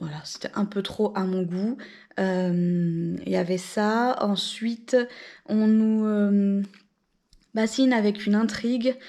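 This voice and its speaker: A dark, mellow tone moves at a very slow pace, with long, frequent pauses and fairly even intonation. The recording is very clean, with a silent background. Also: woman, medium pitch for a woman. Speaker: book vlogger. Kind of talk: casual vlog chat. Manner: hesitant, many fillers; soft-spoken.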